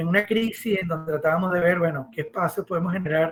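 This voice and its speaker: The man's voice sits high and his intonation stays fairly even. He talks at a fairly quick pace. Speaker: architect and professor. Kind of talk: podcast interview. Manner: fast.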